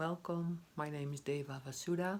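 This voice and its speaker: A woman talks at a fairly slow pace. Her pitch shows ordinary variation. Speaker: meditation guide. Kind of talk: guided meditation intro. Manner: hesitant, many fillers.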